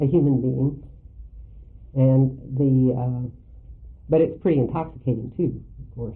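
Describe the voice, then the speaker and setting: Very deep and low in pitch, a woman speaks at a fairly slow pace with fairly even intonation and long, frequent pauses. Audible room echo surrounds her voice. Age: 60s. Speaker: Jungian analyst lecturer. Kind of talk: lecture. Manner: halting, with frequent fillers.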